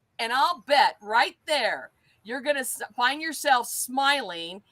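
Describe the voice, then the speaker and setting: A woman with a West Coast accent speaks at a fairly slow pace in a bright, sharp tone. The sound is dry and close, with no echo. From Southern California. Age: 60s. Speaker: life coach and celebrant. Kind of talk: interview.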